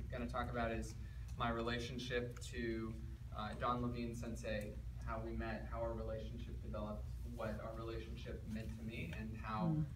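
Over noticeable background noise, a man speaks in a very deep, low pitch with monotone, flat intonation at a moderate pace. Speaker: speaker. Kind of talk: talk to a seated audience. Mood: warm, reflective. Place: hall. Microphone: camera far.

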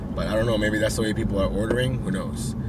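Loud background noise surrounds a man's speech. No echo is heard, and the sound is dry. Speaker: delivery driver vlogger. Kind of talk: casual vlog chat. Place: car. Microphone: phone near.

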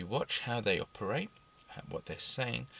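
The man's voice comes through dry, with no echo. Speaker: self-help vlogger. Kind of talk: casual vlog chat. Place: car. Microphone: phone near.

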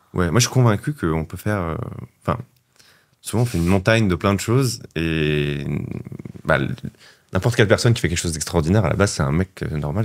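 The man's pitch is very deep and low. He talks at a fairly quick pace with lively intonation. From southern France. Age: 30s. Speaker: adventurer and author. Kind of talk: casual interview. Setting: studio.

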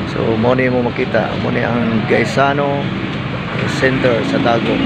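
Loud background noise surrounds a man speaking at a fairly slow pace. The sound is dry, with no echo. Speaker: travel vlogger. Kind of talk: casual vlog chat. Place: street. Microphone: phone near.

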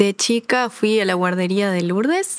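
At a fairly slow pace, a woman speaks with a Uruguayan accent, the sound dry with no echo. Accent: Rioplatense Spanish (Uruguayan). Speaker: ballet dancer; interviewee. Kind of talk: interview. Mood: warm, grateful, smiling. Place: studio. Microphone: lapel.

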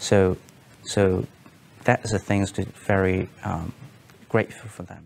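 In a Cantonese accent, a man with a very deep, low pitch speaks in a flat monotone at a fairly slow pace. His long pauses come often, over light background noise. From Hong Kong. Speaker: former consulate staff, detainee; interviewee. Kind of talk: testimony. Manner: halting, many fillers and repetitions. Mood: calm, serious, reflective. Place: studio.

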